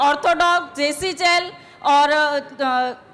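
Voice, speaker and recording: A woman does the talking. The rise and fall of her pitch is ordinary. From Rajasthan, Jodhpur. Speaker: product testimonial giver. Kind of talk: testimony. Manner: halting.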